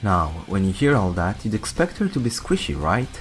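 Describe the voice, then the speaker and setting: A man with a fairly low pitch speaks at a moderate pace, using very wide pitch swings. Music plays in the background. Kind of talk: game guide narration.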